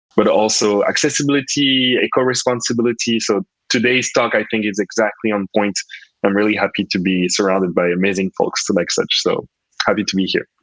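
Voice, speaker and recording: A man's medium-pitched voice with a French accent, fairly quick, with very even loudness and ordinary pitch variation, dry and close with no echo. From French West Indies, Guadeloupe. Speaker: UX designer and researcher. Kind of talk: panel discussion. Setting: online conference.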